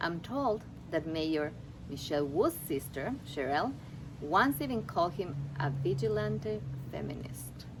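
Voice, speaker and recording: A woman is speaking. She has a non-native accent. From Ecuador. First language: Spanish. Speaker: seminar graduate. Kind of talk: prepared speech.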